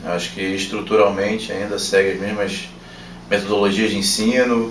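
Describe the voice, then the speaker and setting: Noticeable background noise and audible room echo surround the recording. A man speaks at a fairly slow pace with a fairly low pitch. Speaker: former substitute engineering lecturer. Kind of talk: interview.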